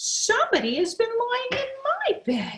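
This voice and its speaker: A squeaky, extremely high-pitched put-on character voice from a woman. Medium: read story.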